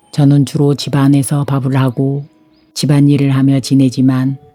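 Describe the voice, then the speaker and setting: Over music in the background, a woman with a very deep, low pitch speaks very slowly in a monotone, flat way. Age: 60s. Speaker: homemaker, carpenter's wife. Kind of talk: reflective vlog voiceover narration.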